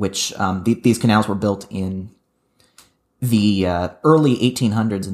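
An ordinary speaking voice from a man, fairly low in pitch, at a fairly slow pace with ordinary pitch variation. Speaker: podcast co-host and editor. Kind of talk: casual chat.

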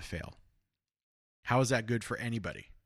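Speaking at a fairly quick pace with a bright, sharp tone and an American accent, this voice comes through over a quiet background. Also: man. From Los Angeles, California. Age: 30s. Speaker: political podcast host. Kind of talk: casual political discussion.

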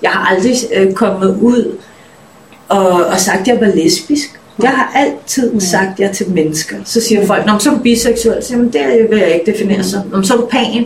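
At a fairly slow pace, a woman speaks in a medium pitch with ordinary pitch variation and very even loudness, over noticeable background noise. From Denmark. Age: 30s. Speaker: musician. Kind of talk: interview.

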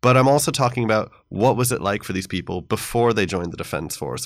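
A man with a normal speaking voice and ordinary pitch variation, in a very clean recording with a silent background. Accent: American. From United States. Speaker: history professor. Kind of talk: interview. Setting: studio.

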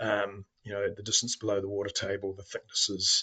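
A man with a New Zealand accent speaks at a fairly low pitch and a fairly quick pace, in a monotone, flat intonation. His tone is bright and sharp, and the sound is dry and close, with no echo. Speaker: mining company executive. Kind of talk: interview.

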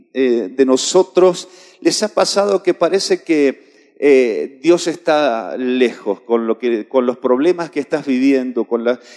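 The sound is dry and close with no echo. A man speaks at a very slow pace. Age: 50s. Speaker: pastor. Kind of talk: sermon. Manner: halting.

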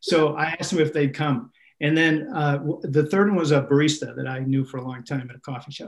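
With an American accent, a man talks at a fairly high pitch, somewhat breathy. His intonation is fairly even, though his loudness swings in a big way. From Minnesota. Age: 60s. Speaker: pastor. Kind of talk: casual interview.

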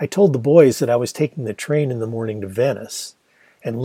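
Ordinary pitch variation in an unforced reading voice, with quiet all around

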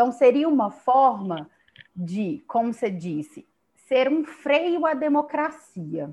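A woman's high pitch rises and falls in very wide swings. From Brazil, Belo Horizonte (Minas Gerais). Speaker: law professor. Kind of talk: interview on political science topic. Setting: remote connection. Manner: halting, many fillers and repetitions.

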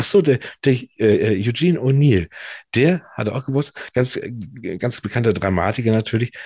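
With lively intonation and a somewhat breathy medium pitch, a man talks at a fairly quick pace yet leaves long, frequent pauses, in a dry, close sound with no echo. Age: 40s. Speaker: podcast co-host. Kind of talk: casual chat. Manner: halting, many fillers.

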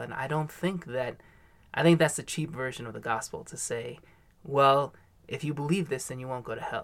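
In a very clean recording with a silent background, a man with an unremarkable speaking voice talks at a fairly high pitch and a moderate pace, with ordinary pitch variation. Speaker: mission worker, podcast co-host. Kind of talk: casual discussion.

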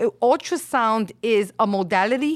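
A woman with a New York accent, fairly high-pitched with very wide pitch swings, at a moderate pace, in a dry, close sound with no echo on a very clean recording with a silent background. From Brooklyn, New York (Williamsburg), Puerto Rican family. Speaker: medical sonographer. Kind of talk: casual interview chat.

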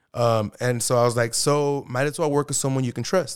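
A man with an American accent speaks at a moderate pace. The recording is very clean, with a silent background. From California, Kern County (Arvin). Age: 20s. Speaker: loan officer and solar sales manager. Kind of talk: casual interview chat. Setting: studio. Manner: animated.

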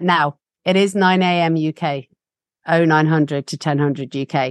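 A woman with an English accent and a very deep, low pitch, at a moderate pace with ordinary pitch variation, in a dry, close sound with no echo and a quiet background. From UK. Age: 40s. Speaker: facilitator and trainer, founder of a facilitation school. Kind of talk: casual interview. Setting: video call. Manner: animated, passionate.

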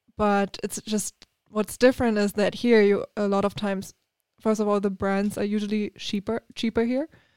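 This woman has a German accent and a moderate pace. Her intonation is flat and monotone. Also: medium pitch for a woman. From Germany. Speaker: TV news reporter. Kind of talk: casual interview.

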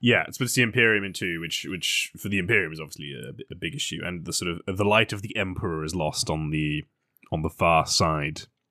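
A man with a very deep, low voice talks at a fairly quick pace, with big swings in loudness, on a very clean recording with a silent background. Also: ordinary pitch variation. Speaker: podcast host. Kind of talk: casual banter podcast.

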